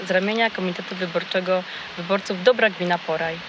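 Noticeable background noise sits behind the recording. A woman talks at a very fast pace with fairly even intonation. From southern Poland. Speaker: local election candidate. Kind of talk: campaign speech. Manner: formal.

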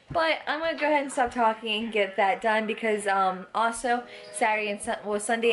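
Over crowd noise in the background, a woman talks at a fairly quick pace with ordinary pitch variation. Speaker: parent vlogger. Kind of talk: casual vlog chat. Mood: cheerful, chatty. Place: home room. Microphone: phone near.

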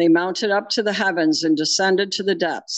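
Her intonation stays fairly even. Nothing much can be heard behind this woman. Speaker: lay scripture reader. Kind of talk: reading aloud. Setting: church. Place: church.

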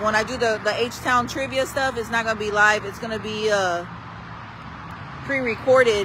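Noticeable background noise sits under moderate-paced speech with a dry sound and no echo. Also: woman. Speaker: local social media host. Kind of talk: casual vlog chat. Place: street. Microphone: phone near.

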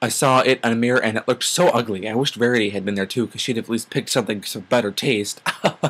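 Just a natural reading voice.

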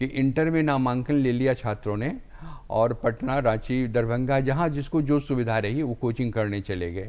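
A man talks at a medium pitch with a dark, mellow tone. His pace is fairly slow, and his pitch varies in an ordinary way. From Munger district, Bihar, India; Bihar, India. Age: 70s. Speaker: retired Hindi professor and writer; retired Hindi professor. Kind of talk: TV interview. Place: studio. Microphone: lapel.

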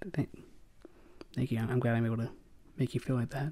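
A man speaks at medium pitch with fairly even intonation. His tone is dark and mellow. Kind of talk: ASMR roleplay boyfriend script. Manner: shy, flustered, stammering.

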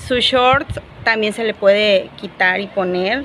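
A woman is heard speaking over noticeable background noise. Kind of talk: casual vlog chat showing a handmade item. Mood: playful, animated. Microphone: lapel.

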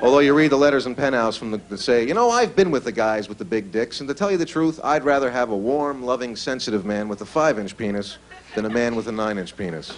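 A man races along at a very fast pace with hardly any pauses and lively intonation. Light background noise sits underneath. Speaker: stand-up comedian. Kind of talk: stand-up comedy routine. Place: stage. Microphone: handheld.

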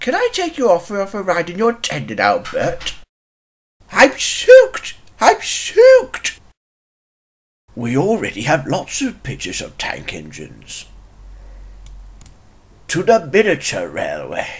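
The speaker does a put-on character voice at a fairly slow pace. Long pauses come often.

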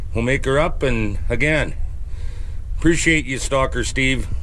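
A man is speaking. Light background noise can be heard. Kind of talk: casual vlog chat. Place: open country. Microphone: camera far.

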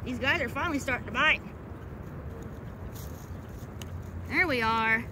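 A woman's raised, projected voice, with noticeable background noise and a dry sound with no echo. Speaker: fishing vlogger. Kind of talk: casual vlog chat. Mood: cheerful, playful. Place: waterside. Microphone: phone near.

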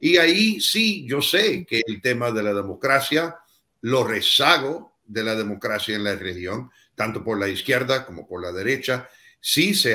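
Against a quiet background, a man speaks at a fairly slow pace and medium pitch in a bright, sharp tone. His loudness swings a lot, and his pitch swings very widely. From United States. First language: English (speaking Spanish). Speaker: former US ambassador; guest. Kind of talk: panel discussion. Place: home room.

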